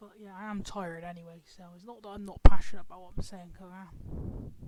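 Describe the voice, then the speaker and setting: A woman with a British accent speaks at a medium pitch and moderate pace in a dark, mellow tone. Her intonation stays monotone and flat. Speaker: video commentator. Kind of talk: casual rant commentary. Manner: lethargic.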